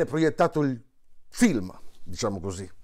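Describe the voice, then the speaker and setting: A man speaks at a fairly slow pace, and the background is quiet. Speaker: monologist, stage storyteller. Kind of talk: casual talk to camera promoting a show. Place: home room. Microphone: lapel.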